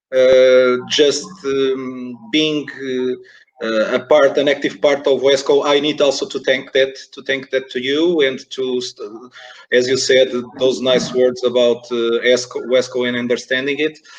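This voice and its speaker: A man talks at a fairly slow pace and a medium pitch. His intonation is monotone and flat. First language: Portuguese. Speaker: esports organization director, interviewer. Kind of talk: webinar interview. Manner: halting, many fillers and repetitions.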